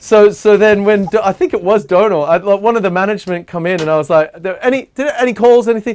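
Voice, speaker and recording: A man's high voice in an animated tone, with ordinary pitch variation. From Australia. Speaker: talk show host. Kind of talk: casual chat. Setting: live stream.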